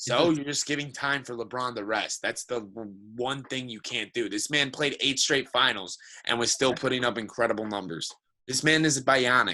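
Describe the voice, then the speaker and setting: A medium-pitched man with a bright, sharp tone and ordinary pitch variation, on a very clean recording with a silent background. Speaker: sports podcast co-host. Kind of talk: heated sports debate. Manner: fast; animated.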